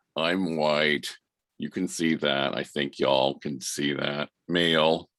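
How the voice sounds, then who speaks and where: A man talks at a very slow pace in a very deep, low voice with vocal fry. His delivery is monotone and flat. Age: 60s. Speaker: discussion participant. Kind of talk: casual chat.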